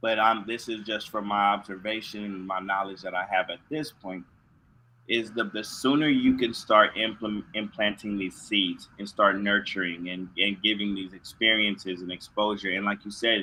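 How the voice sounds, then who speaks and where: A man with an American accent and a plain, everyday voice talks at a moderate pace, fairly low in pitch, with fairly even intonation. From US West Coast, San Diego. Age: 40s. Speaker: nonprofit co-founder and keynote speaker. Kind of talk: interview.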